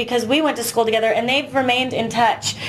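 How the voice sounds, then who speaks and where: The speaker is a woman with a high pitch. Background noise is noticeable. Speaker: musician. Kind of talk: casual chat.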